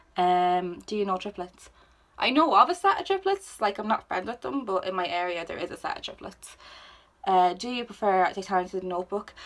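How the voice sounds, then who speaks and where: A woman in an Irish accent at a fairly quick pace, medium in pitch with ordinary pitch variation. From Ireland. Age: 20s. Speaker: YouTuber. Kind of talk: casual chat. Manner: animated.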